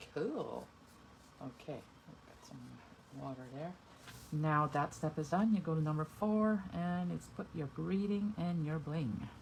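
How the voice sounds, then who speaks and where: Speaking in a very deep, low pitch, a woman sounds somewhat breathy, takes long, frequent pauses and swings widely in loudness. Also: lively intonation, fairly slow pace. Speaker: card-making demonstrator. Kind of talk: tutorial. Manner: soft-spoken at times; casual, thinking aloud.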